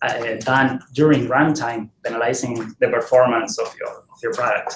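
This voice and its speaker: In a Spanish accent, a man speaks at a medium pitch, somewhat breathy. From Argentina. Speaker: software developer, conference speaker. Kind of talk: tech talk. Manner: halting, many fillers and repetitions.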